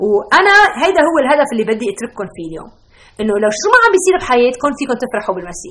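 A woman's high-pitched voice with a warm tone, very wide pitch swings, big swings in loudness and a very fast pace. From Lebanon. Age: 40s. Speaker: Bible teacher and pediatric doctor. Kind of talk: Bible teaching podcast. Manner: warm, conversational with some stammering.

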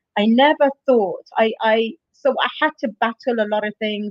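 Music sits in the background as a woman speaks at a fairly high pitch. Her pace is fairly slow, with ordinary pitch variation. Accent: Bedfordshire. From England, Luton. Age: 40s. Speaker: gym client. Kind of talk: interview.

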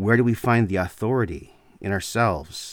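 In a very clean recording with a silent background, a man with a Canadian accent talks at a fairly slow pace in a normal speaking voice with fairly even intonation. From Canada. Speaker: podcast host. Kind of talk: solo monologue lecture.

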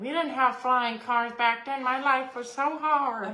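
With noticeable background noise behind her, a woman in a put-on character voice speaks at a high pitch and a fairly slow pace. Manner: complaining, grumbling.

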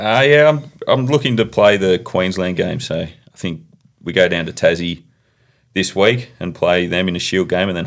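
A man speaks with an Australian accent in a very deep, low voice. His intonation is lively. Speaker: professional cricketer. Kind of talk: podcast interview.

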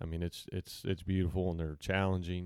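A man's very deep, low voice with fairly even intonation, in an Arkansas accent, on a very clean recording with a silent background. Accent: southern US (Arkansas). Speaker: podcast guest. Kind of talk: casual chat.

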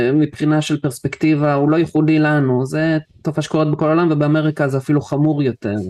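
The speech keeps a moderate pace over a quiet background. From Israel. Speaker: podcaster and lecturer on esoterica and philosophy. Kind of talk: interview conversation. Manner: halting.

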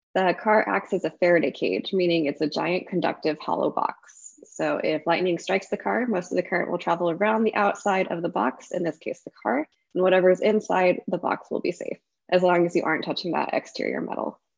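A woman with vocal fry talks at a fairly quick pace in a fairly low pitch, with ordinary pitch variation and hardly any pauses. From north Texas (Arkansas-born, moved at 10). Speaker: lightning research scientist. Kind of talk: interview.

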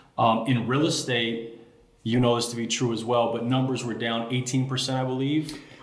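A man in an American accent speaks at a moderate pace and medium pitch with monotone, flat intonation. Audible room echo and noticeable background noise come through. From Chicago, South Side. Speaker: realtor. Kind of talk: casual interview chat.

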